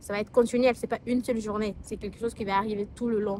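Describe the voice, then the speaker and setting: Her fairly high voice kept fairly even, a woman talks at a fairly quick pace. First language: not French (speaking French). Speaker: lifestyle vlogger. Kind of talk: casual vlog talk to camera. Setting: filming outdoors in the sun. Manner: hesitant, many fillers and restarts.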